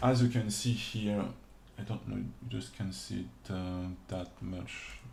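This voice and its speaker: Somewhat breathy and dark, mellow in tone, this voice carries a non-native accent and lively intonation at a very slow pace, with audible room echo. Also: man. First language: not English. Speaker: 3D modeling instructor / streamer. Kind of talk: livestream tutorial. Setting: livestream from home. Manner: halting. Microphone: reverb issues with streaming audio.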